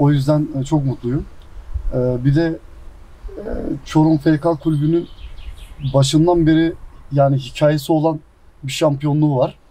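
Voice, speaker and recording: A man with a somewhat breathy, fairly high pitch, monotone, flat intonation, a very slow pace, and long, frequent pauses. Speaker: professional footballer. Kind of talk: casual interview. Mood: happy, proud about title. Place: garden.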